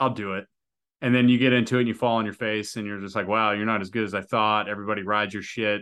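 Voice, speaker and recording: Bright and sharp in tone, a man's fairly low voice stays monotone, with flat intonation. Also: quiet background. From Australia. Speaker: podcast host, military veteran. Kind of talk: casual chat.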